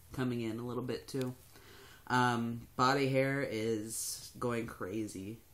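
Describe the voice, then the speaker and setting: Fairly even intonation in a man's voice of medium pitch. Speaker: vlogger. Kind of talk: casual vlog. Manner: hesitant, many fillers.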